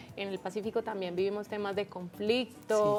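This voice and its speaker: Music plays behind a woman talking at a moderate pace. Her pitch is medium and her intonation fairly even. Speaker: podcast host. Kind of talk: interview question.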